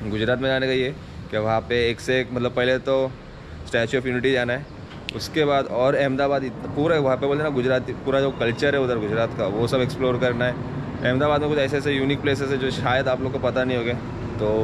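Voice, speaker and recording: Against noticeable background noise, a man speaks with monotone, flat intonation and very even loudness. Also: fairly quick pace. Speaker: motovlogger. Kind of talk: casual vlog chat. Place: street.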